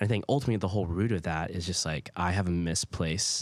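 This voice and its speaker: Speaking at a very fast pace, a man has a very deep, low pitch with ordinary pitch variation. The recording is very clean, the background silent. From Hawaii. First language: Hawaiian Pidgin. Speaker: student ministry leader. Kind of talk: casual podcast discussion. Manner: hesitant, many fillers.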